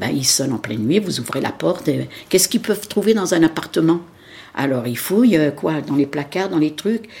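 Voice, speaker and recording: At a moderate pace, a woman with a very deep, low pitch swings her pitch very widely. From France, Nanterre. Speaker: witness of the Algerian war. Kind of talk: testimony.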